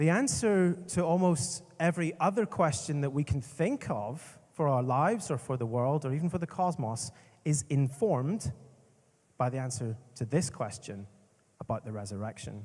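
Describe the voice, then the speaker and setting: On a very clean recording with a silent background, a man with a Northern Irish accent speaks in a fairly high, somewhat breathy voice with lively intonation. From Northern Ireland. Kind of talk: conference talk. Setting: stage with audience. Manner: slow at first, speeding up later; animated.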